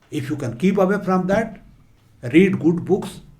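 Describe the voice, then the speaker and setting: A man speaks at a high pitch with a dark, mellow tone. Audible room echo surrounds his voice. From India, rural eastern Uttar Pradesh. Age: 70s. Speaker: motivational speaker and former civil servant. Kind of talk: motivational talk.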